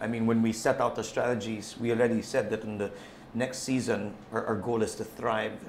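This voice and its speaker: Over light background noise, a man talks with monotone, flat intonation. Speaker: football club team manager; guest. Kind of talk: casual chat. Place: studio. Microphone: lapel.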